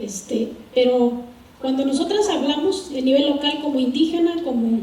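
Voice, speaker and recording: Amid noticeable background noise and audible room echo, a woman with a high-pitched voice talks at a fairly slow pace. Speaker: civil society activist, audience member. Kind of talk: audience question at panel. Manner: halting, many fillers.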